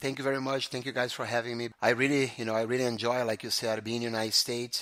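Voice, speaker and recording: A man with a Brazilian Portuguese accent talks very fast at a medium pitch, his intonation flat and monotone. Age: 40s. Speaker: jiu-jitsu school owner. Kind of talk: interview. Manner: halting.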